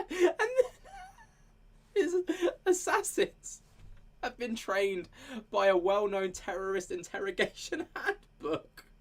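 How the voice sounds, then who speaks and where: A British accent comes through. Delivery runs at a fairly slow pace. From United Kingdom. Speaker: paranormal commentary YouTuber. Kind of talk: casual commentary chat. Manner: animated.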